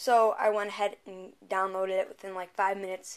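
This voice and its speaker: This woman talks at a fairly quick pace. Her intonation is flat and monotone. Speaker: app reviewer. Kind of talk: casual tutorial review. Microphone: camera far.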